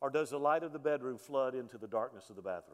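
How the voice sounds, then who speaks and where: This is a man speaking with a Southern US accent. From US South, Alabama. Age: 50s. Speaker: pastor. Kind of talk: sermon. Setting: church.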